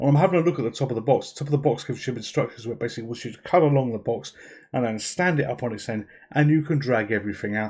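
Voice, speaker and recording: Somewhat breathy speech comes at a very fast pace with ordinary pitch variation. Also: man, medium pitch for a man. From UK. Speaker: YouTube gaming channel host. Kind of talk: casual video narration. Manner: informal, self-deprecating chatty.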